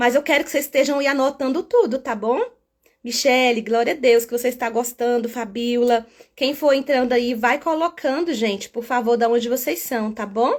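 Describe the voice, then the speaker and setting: In a very clean recording with a silent background, a woman speaks at a fairly slow pace in a high pitch, her animated tone moving with ordinary pitch variation. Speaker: children's ministry teacher. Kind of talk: live stream teaching. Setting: live stream.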